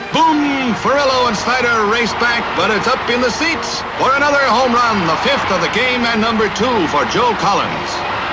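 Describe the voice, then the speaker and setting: A man speaks at an extremely high pitch, with ordinary pitch variation and very even loudness. His moderate pace has hardly any pauses, and noticeable background noise runs underneath. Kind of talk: newsreel sports narration.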